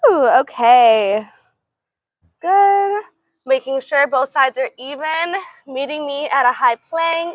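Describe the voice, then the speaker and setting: A woman with an American accent and a high pitch speaks in an upbeat, warm tone with lively intonation, at a very slow pace with long, frequent pauses. The sound is dry with no echo, and music plays in the background. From Los Angeles, California. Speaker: yoga instructor. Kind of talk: live-streamed guided yoga class, cueing poses and counting reps. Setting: live stream to online viewers. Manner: upbeat, warm and encouraging, with energetic 'woo' exclamations during effort; brisk, clear, rhythmic cueing in short commands. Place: garden.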